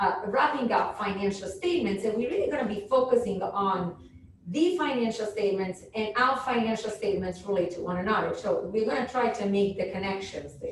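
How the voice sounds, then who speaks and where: Loud and fairly high-pitched, a woman talks at a fairly quick pace with lively intonation amid audible room echo. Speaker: professor. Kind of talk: lecture.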